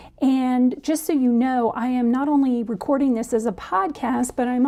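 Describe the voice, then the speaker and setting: Over noticeable background noise, a woman with a high voice speaks at a moderate pace with ordinary pitch variation and hardly any pauses. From South Florida. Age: 50s. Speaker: podcast host. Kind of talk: casual monologue. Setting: home recording to camera.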